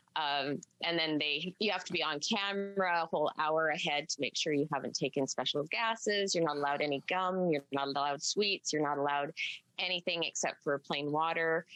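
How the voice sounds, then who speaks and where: A woman with a Canadian accent and a very deep, low pitch, bright and sharp in tone, at a fairly quick pace with ordinary pitch variation and very even loudness, in a dry, close sound with no echo. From British Columbia, Canada. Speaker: country musician. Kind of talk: TV interview.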